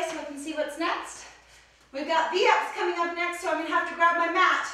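Amid strong room echo, a woman projects her raised voice at a fairly quick pace. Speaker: fitness instructor. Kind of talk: workout tutorial. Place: gym.

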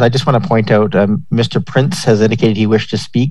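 A man with a fairly low pitch and a slightly mellow tone speaks with little pitch movement.

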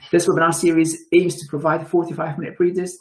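Somewhat breathy, a man talks at a fairly quick pace against a quiet background. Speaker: webinar host and director. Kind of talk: formal webinar introduction and moderation. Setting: video call webinar. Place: home room. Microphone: webcam.

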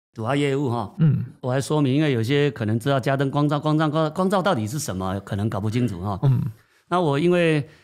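Delivered at a very fast pace with lively intonation, the speech comes through in a very clean recording with a silent background. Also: man, fairly high pitch for a man. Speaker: company chairman. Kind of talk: interview.

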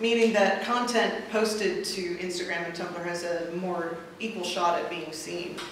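A woman with an American accent, fairly even intonation and a moderate pace, in strong room echo

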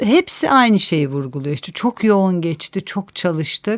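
Recorded very cleanly against a silent background, a woman of medium pitch speaks fairly slowly, her pitch swinging very widely. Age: 50s. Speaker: author and urban planner. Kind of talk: interview.

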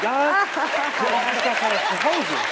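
A man speaks fairly slowly while loud background noise fills the recording. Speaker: comedian talk show guest. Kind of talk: interview answer, comedic storytelling. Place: studio. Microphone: headset.

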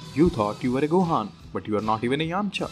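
With music in the background, a man speaks at a medium pitch and a fairly quick pace, his intonation lively. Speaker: weightlifting video creator. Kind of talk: humorous voice-over narration.

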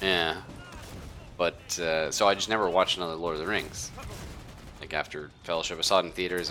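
A man talks at a very fast pace in a very deep, low voice with monotone, flat intonation. There is noticeable background noise. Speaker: gaming streamer. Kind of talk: casual gaming chat. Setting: live stream with online voice chat. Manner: rambling, lots of filler words.

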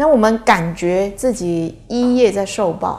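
Against a quiet background, a woman speaks in a dark, mellow tone with ordinary pitch variation. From Taiwan. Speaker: Buddhist teacher. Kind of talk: Dharma lecture with anecdotes. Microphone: podium.

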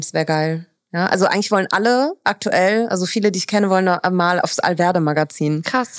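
Speaking at a fairly quick pace with ordinary pitch variation, a woman sounds dry with no echo over a quiet background. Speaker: podcast host. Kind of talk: casual podcast conversation. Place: home room. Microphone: studio mic.

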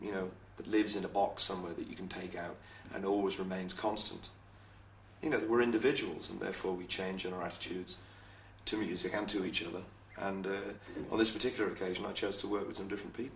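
Speaking very fast, a man with a fairly low voice is heard over light background noise, with audible room echo. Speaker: interviewee. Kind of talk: interview answer. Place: office.

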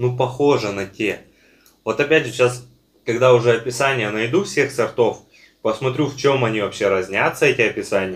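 Somewhat breathy and relaxed in tone, the man talks at a moderate pace with ordinary pitch variation. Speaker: online seller and video blogger reviewing edible clay and chalk. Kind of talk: casual product review video while tasting. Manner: relaxed, with many fillers. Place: home room. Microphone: phone near.

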